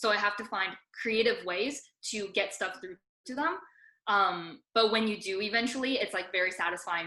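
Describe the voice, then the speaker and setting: The tone is bright and sharp, with a fairly quick pace. Pitch variation is ordinary. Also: woman. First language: Mandarin. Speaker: debate coach. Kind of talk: seminar talk.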